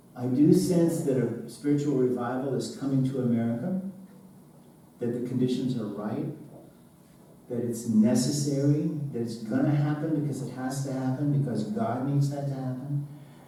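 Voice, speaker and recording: The man's pace is moderate and his pitch medium, with fairly even intonation. Noticeable background noise is present. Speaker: church sermon speaker / pastor. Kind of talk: sermon delivered to a congregation.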